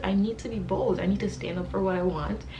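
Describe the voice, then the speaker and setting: A woman's voice over music in the background. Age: 20s. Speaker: architecture student. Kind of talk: casual talk to camera.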